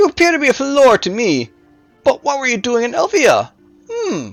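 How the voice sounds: Over faint music in the background, a man performs a put-on character voice at an extremely high pitch with very wide pitch swings. His fairly bright tone carries vocal fry at a moderate pace.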